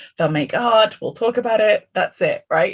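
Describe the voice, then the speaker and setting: A woman talks in an English accent with vocal fry. Her pace is moderate. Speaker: art therapist and course teacher. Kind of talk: online class discussion. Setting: video call. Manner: casual, conversational.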